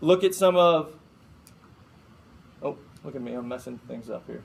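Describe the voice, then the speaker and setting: With an American accent, a man speaks at a fairly high pitch. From Chicago. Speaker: FBI agent. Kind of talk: guest lecture. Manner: fast; casual.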